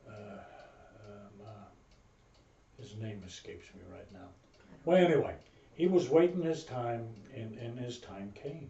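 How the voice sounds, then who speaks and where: A man speaks fairly slowly with long, frequent pauses and lively intonation. His voice is somewhat breathy, with big swings in loudness. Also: medium pitch for a man. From Berlin, Germany. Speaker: US Navy veteran. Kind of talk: interview answer. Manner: hesitant, halting.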